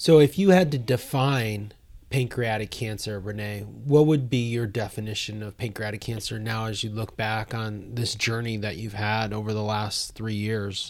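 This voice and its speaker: A man's normal speaking voice, fairly low in pitch, with ordinary pitch variation, big swings in loudness and hardly any pauses. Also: moderate pace. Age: 40s. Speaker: podcast host and nonprofit founder. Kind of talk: interview. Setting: studio.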